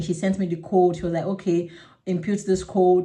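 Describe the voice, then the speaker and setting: There is audible room echo as a woman talks at a fairly low pitch and a fairly quick pace. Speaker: vlogger. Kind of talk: casual vlog monologue. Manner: fast; halting.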